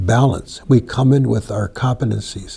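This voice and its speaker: The tone is dark and mellow, with vocal fry. Delivery comes at a fairly slow pace. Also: man. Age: 70s. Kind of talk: interview discussion.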